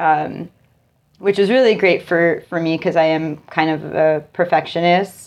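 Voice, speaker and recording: Against a quiet background, a woman with an unremarkable speaking voice and an American accent speaks at a moderate pace, her fairly low pitch kept in fairly even intonation. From Connecticut, New Haven area. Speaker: musician and artist. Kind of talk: casual interview. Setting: at the guest's house.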